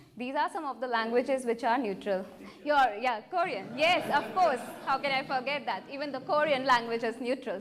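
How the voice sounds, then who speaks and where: With lively intonation and a high pitch, a woman speaks in an Indian accent amid noticeable background noise and audible room echo. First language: Hindi. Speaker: artist. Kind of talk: Q&A after presentation. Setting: presentation room with audience. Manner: halting.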